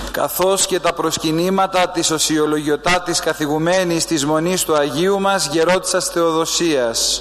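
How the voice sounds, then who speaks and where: Very even loudness and fairly even intonation at a moderate pace with hardly any pauses, over noticeable background noise. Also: man, high pitch for a man. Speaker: Greek clergyman accompanying relics. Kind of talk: formal address.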